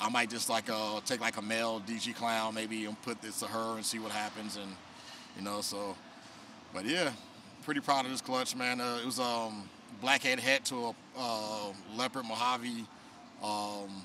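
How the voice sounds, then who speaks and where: A man speaks with fairly even intonation and long, frequent pauses. The sound is dry with no echo, though noticeable background noise is present. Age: 40s. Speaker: snake breeder; guest. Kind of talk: casual chat. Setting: reptile expo. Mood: relaxed, cheerful. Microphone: handheld.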